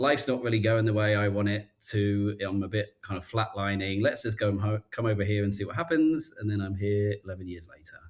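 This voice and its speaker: The voice is somewhat breathy, with a strong British accent and ordinary pitch variation. It moves at a fairly quick pace in a very clean recording with a silent background. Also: man. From southern England, Reading. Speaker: life coach. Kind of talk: casual chat.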